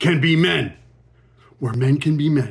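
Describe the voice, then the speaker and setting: The speaker uses vocal fry at a fairly slow pace. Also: man. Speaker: podcast host. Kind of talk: solo podcast monologue. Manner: casual, conversational.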